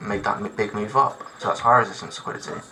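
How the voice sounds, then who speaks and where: A man is talking. Music plays behind him. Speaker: trading educator. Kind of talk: tutorial. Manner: casual, loose explanation.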